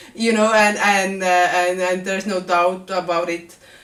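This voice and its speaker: A woman's voice with noticeable background noise. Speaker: vlogger. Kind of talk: vlog monologue.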